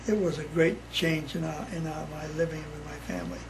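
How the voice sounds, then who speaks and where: Amid noticeable background noise and audible room echo, a man with an American accent speaks at a fairly high pitch in a monotone, flat intonation. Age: 80s+. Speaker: family elder interviewee. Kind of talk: casual chat. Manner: halting.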